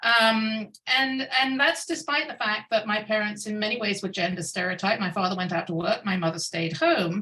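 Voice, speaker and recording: With a British accent, a woman speaks at a moderate pace in a fairly high, bright and sharp voice with lively intonation and hardly any pauses. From United Kingdom. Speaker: scientist. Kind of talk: keynote talk. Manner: hesitant, many fillers.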